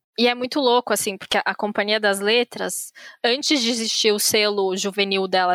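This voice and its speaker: A woman with an unremarkable speaking voice talks at a fairly high pitch and a moderate pace. The sound is dry and close, with no echo. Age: 30s. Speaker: podcast host. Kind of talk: casual chat.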